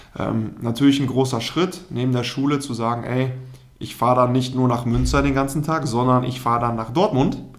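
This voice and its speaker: Noticeable background noise and audible room echo fill the recording. A man speaks at a moderate pace with fairly even intonation. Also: medium pitch for a man. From Germany, Münsterland (Telgte). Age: 20s. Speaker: former pro goalkeeper, consultant. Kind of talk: interview. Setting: office.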